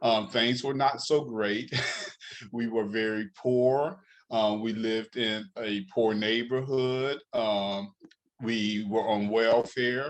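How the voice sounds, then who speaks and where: A man with an American accent speaks at a very slow pace, his medium-pitched voice following a fairly even intonation. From upstate New York, Rochester. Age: 60s. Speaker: author, speaker and life coach. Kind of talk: interview.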